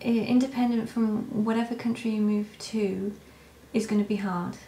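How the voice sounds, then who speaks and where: Speaking with a British accent, a woman keeps a medium pitch and a fairly slow pace. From Britain. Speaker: vlogger, stay-at-home mother. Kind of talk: casual vlog Q&A. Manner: quiet, talking softly; hesitant, many fillers.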